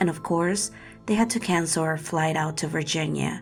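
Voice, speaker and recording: Music plays in the background while a woman with a very deep, low pitch talks at a moderate pace. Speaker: horror story narrator. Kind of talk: first-person horror story narration.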